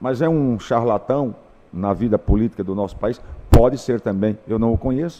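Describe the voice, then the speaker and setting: A man speaks at a moderate pace. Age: 60s. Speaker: teacher. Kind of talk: interview.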